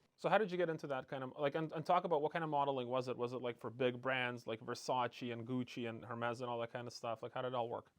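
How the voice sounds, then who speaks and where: This man talks at a very fast pace with hardly any pauses, using a medium pitch and ordinary pitch variation. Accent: Canadian. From Canada. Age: 40s. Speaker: podcast host, company CEO. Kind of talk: podcast interview.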